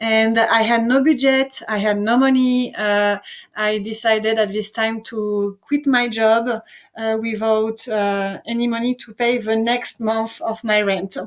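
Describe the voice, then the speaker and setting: A woman with a French accent speaks in a fairly high pitch with monotone, flat intonation. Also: fairly slow pace. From France. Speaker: entrepreneur and presenter. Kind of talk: online presentation. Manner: halting, many fillers.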